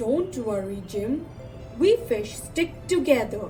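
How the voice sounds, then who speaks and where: A woman puts on a high-pitched character voice at a fairly slow pace. Clear background noise runs underneath. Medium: read story.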